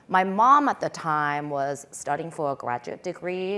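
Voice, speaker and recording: At a fairly slow pace, a woman with a Korean accent talks in a fairly low pitch. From England, suburb of London (born in Korea, moved at eight). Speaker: tech founder and CEO. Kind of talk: panel discussion.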